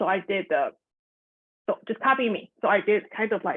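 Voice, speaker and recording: At a fairly quick pace, a woman speaks in a fairly high voice with ordinary pitch variation. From Taiwan. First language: Mandarin Chinese. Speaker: elementary music teacher. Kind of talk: video call meetup sharing.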